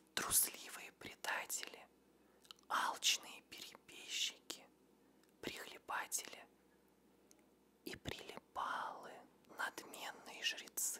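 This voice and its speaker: A man whispering at a very slow pace, with long, frequent pauses. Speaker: ASMR creator, former teacher. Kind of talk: ASMR trigger words on patriotic themes. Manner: whispered, soft. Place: studio. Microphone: studio mic.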